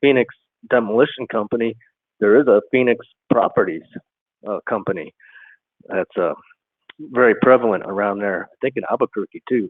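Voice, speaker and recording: The man's pitch is medium and his intonation fairly even. He moves along at a fairly quick pace. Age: 50s. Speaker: caller. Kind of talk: call-in conversation. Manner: halting, many fillers.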